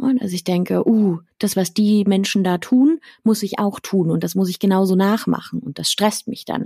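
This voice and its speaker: This woman has a dark, mellow tone and sounds somewhat breathy. Her pace is moderate and her pitch variation is ordinary. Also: medium pitch for a woman, dry, close sound with no echo. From Berlin, Germany. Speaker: sex educator. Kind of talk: interview answering listener questions. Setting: video call.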